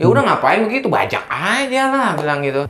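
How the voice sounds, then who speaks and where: A man's voice moves in very wide pitch swings. Noticeable background noise is present. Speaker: voice actor. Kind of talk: interview answer.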